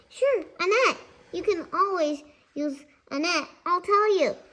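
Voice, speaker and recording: A woman speaks slowly in a put-on character voice, extremely high and squeaky. Her pace is fairly slow throughout. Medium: read story. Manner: jovial, coaxing.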